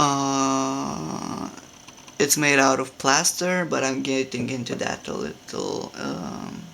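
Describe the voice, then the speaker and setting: A man speaks with a Romanian accent. His pace is very slow. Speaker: hobby sculptor. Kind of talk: casual tutorial. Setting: home room. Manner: halting, many fillers.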